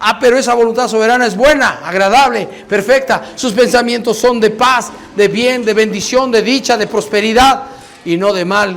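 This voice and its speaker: Over noticeable background noise and audible room echo, a man with an extremely high pitch talks at a moderate pace with fairly even intonation. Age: 60s. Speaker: pastor. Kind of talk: sermon.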